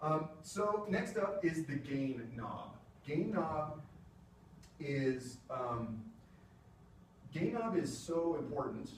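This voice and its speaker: A man with a fairly high pitch talks very slowly, leaving long, frequent pauses, his intonation lively. Noticeable background noise and audible room echo fill the recording. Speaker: music technology presenter. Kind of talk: lecture. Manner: casual, conversational.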